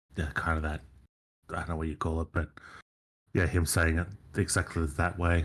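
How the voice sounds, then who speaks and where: Somewhat breathy, a man speaks at a very deep, low pitch in a monotone, flat intonation. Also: long, frequent pauses, very clean recording, silent background. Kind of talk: casual chat. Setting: live stream. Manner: halting.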